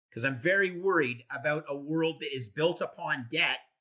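With a bright, sharp tone and a fairly high pitch, a man speaks at a moderate pace with ordinary pitch variation. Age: 50s. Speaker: investment manager. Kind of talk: interview.

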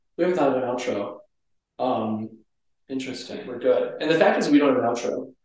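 A man at medium pitch talks at a fairly quick pace with lively intonation and long, frequent pauses. Audible room echo surrounds his voice. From Minnesota. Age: 20s. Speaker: pharmacy student. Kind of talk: casual chat.

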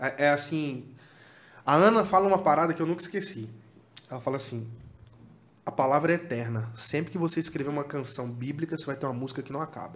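Very fast speech from a man, fairly high in pitch, ordinary in pitch variation, broken by long, frequent pauses. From Tocantins, Brazil (Palmas). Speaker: worship musician. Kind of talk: casual chat.

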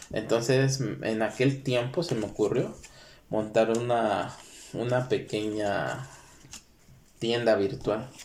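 A medium-pitched male voice at a very slow pace, with fairly even intonation, long, frequent pauses and audible room echo. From Mexico, Guerrero state. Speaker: podcast co-host. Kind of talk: casual chat.

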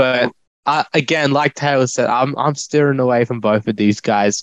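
A man with an Australian accent at a medium pitch and a fairly slow pace, with ordinary pitch variation, in a dry, close sound with no echo. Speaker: fantasy football co-host. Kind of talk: casual banter.

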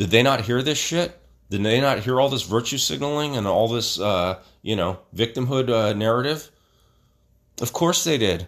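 A man with a medium pitch talks at a moderate pace with lively intonation. The recording is very clean, with a silent background. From Stockton, California (Filipino-American community). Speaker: podcast host. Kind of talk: opinion monologue. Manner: halting, with many fillers; heated.

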